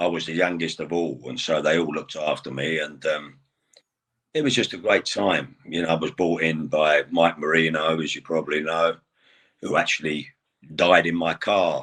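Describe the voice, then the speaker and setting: A man speaks with an English accent at a very deep, low pitch. His intonation stays fairly even. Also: moderate pace. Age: 60s. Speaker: retired pro wrestler. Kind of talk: interview.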